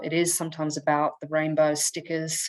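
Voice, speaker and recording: With an Australian accent, the speaker talks at a moderate pace against a quiet background. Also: woman. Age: 40s. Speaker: conference presenter. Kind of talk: conference presentation. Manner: halting, many fillers.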